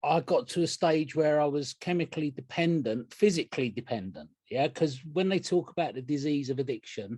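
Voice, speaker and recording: Fairly quick and with hardly any pauses, a man speaks in a dark, mellow tone. His pitch sits fairly high and shows ordinary variation. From England. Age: 60s. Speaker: recovering addict sharing at a meeting. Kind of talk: testimony. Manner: casual, rambling with hesitations.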